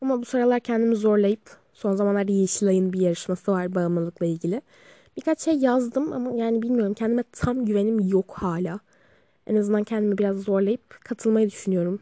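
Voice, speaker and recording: A woman speaks at a fairly quick pace in a medium pitch with a dark, mellow tone and ordinary pitch variation, the sound dry and close with no echo. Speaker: podcaster. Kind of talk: casual monologue. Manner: casual.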